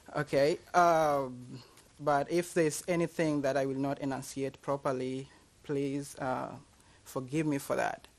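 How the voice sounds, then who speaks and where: A man with a Kenyan accent and a fairly high voice, speaking fairly slowly in a flat monotone against a quiet background. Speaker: university lecturer. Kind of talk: public talk. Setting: library event with audience.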